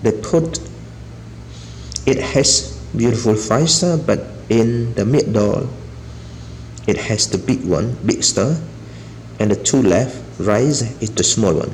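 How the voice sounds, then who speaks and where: The speech moves very slowly with long, frequent pauses and very even loudness, while noticeable background noise runs underneath. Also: man, medium pitch for a man. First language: not English. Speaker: toy reviewer. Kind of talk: casual product showcase. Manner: halting.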